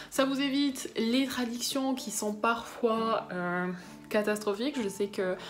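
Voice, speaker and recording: Speaking at a very slow pace, a woman uses a fairly high pitch. Her pitch varies in an ordinary way. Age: young. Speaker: book vlogger. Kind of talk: casual vlog talk. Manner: hesitant, many fillers.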